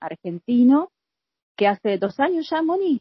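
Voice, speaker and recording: Swinging very widely in pitch, a woman's voice moves at a fairly slow pace. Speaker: podcast host. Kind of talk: interview.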